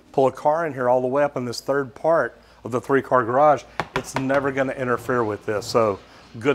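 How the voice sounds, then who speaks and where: A man speaks fairly quickly, his intonation fairly even, with noticeable noise in the background. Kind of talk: tutorial. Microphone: lapel.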